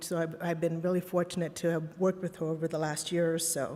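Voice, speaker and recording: A woman with a fairly low pitch speaks at a fairly quick pace against noticeable background noise. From Los Angeles, raised from age five. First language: Spanish. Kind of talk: keynote speech. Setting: conference stage with audience. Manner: occasional filler words and restarts.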